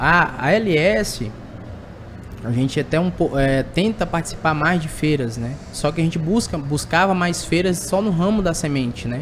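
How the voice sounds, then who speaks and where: Speaking fairly slowly in a Tocantins accent, a man has a fairly high pitch. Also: ordinary pitch variation. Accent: keeps Tocantins. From Tocantins, Brazil. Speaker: sales representative for agricultural machinery. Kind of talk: podcast interview. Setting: at an agricultural fair.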